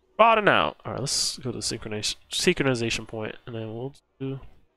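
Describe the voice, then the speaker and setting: Music plays in the background as a man talks. His intonation is lively and his pace moderate. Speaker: gaming streamer. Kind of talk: live gameplay commentary. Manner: tongue-tied, repeats words.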